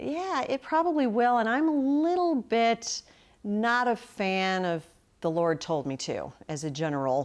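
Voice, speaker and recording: A woman talks at a fairly slow pace with a fairly high pitch. Her pitch swings very widely. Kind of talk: radio interview answer.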